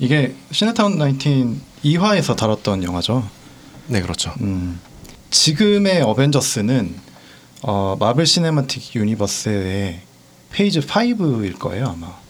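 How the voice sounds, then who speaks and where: Speaking at a fairly slow pace, a man at medium pitch makes very wide pitch swings. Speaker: podcast guest. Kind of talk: casual chat.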